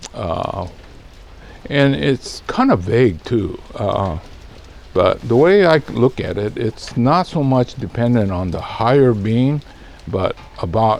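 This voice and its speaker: Relaxed in tone, a man talks at a fairly slow pace with lively intonation. Noticeable background noise sits behind him. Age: 70s. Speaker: bonsai nursery owner and video host. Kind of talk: casual monologue to camera. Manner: relaxed, hesitant with many fillers.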